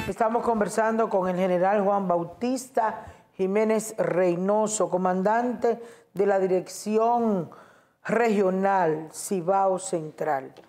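At a very slow pace, a woman of medium pitch speaks with fairly even intonation and very even loudness. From Dominican Republic, Santiago; Dominican Republic. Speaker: TV host and journalist; TV host. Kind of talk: TV interview. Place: studio.

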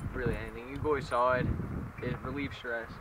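A man speaks at a very fast pace, the sound dry with no echo but with noticeable background noise. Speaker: interviewee. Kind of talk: interview answer. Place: waterside.

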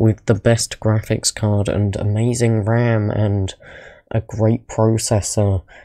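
A quiet voice at a very slow pace on a very clean recording with a silent background. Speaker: small YouTuber. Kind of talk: casual talk to camera. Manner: quiet, low volume.

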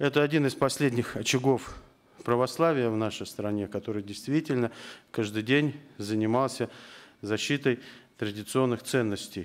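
A man talks at a moderate pace with ordinary pitch variation. His speech has long, frequent pauses. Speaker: politician chairing a round table. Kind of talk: formal opening speech. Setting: parliament round table. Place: meeting room. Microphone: podium.

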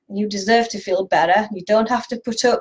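This woman's voice is somewhat breathy. Its pitch is fairly high. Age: 50s. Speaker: nutritional therapist and video blogger; video blogger. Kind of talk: direct-to-camera talk. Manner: hesitant, many fillers. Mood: warm, encouraging. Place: home room. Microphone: webcam.

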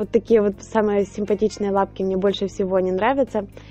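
A woman at a moderate pace, with a dry sound, no echo, and faint music in the background. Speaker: home baker reviewing a purchase. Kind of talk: tutorial and product review. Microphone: phone near.

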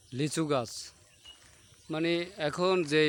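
This man has a normal speaking voice with a fairly high pitch. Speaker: video blogger. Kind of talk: vlog narration.

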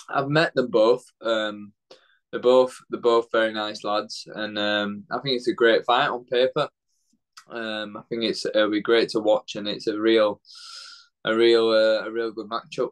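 A man with a Yorkshire accent speaks at a fairly slow pace and fairly even intonation against a quiet background. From northern England, Leeds; northern England. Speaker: professional boxer; interviewee. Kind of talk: interview. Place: home room. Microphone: video call.

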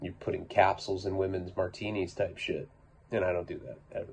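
Light background noise sits under a man's voice. It is somewhat breathy and fairly low in pitch. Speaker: podcaster or vlogger. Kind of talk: casual storytelling monologue. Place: home room.

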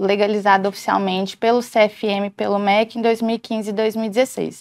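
A woman speaks at a very slow pace. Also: quiet background. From Goiás, Brazil (Itumbiara); Goiás, Brazil. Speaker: emergency physician; guest. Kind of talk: interview. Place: studio. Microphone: lapel.

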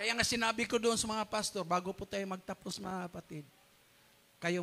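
In an animated tone, a man speaks at a moderate pace over light background noise. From Philippines. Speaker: pastor. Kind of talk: sermon. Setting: church. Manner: animated, fervent preaching with call-and-response exclamations; code-switches between Tagalog and English, laughs while joking. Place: church. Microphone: handheld.

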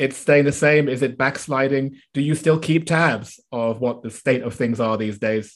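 A man with a southern English accent, medium in pitch, at a moderate pace with ordinary pitch variation. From London, England. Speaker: podcast host. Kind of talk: interview.

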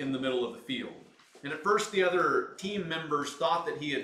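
Audible room echo around a male voice of ordinary pitch variation. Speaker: pastor. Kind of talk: sermon. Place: empty room.

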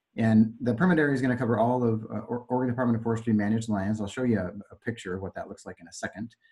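Talking at a very fast pace, a man with a dark, mellow tone and ordinary pitch variation swings widely in loudness against a quiet background. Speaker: consultant project manager; presenter. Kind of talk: technical presentation. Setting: conference call. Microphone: video call.

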